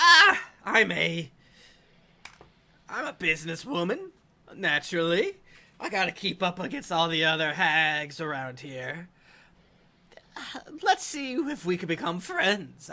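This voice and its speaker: Using a put-on character voice, a man speaks high and raised, projecting at a fairly slow pace with long, frequent pauses. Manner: businesslike.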